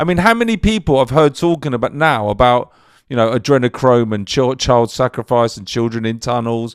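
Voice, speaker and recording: In a London accent, a man speaks at a fairly quick pace. The recording is very clean with a silent background. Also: medium pitch for a man, ordinary pitch variation. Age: 50s. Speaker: podcast interviewer. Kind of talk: casual chat.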